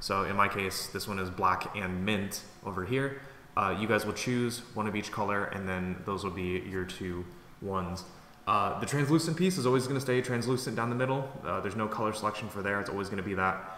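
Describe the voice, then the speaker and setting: At a fairly quick pace, a man speaks with audible room echo and noticeable background noise. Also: ordinary pitch variation. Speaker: product creator and YouTuber. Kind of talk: casual update video. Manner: fast; many fillers (um, uh).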